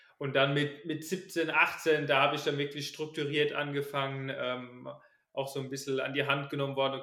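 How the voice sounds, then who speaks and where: Audible room echo surrounds a man with a fairly high voice talking at a moderate pace. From Palatinate, Germany (near Kaiserslautern). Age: 20s. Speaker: runner and student. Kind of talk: casual interview.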